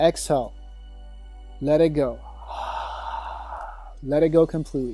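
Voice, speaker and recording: Over background music, a man speaks in a calm, soothing tone at a fairly high pitch, flat and monotone, with long, frequent pauses. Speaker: meditation teacher. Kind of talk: guided sleep meditation. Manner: calm, slow, soothing.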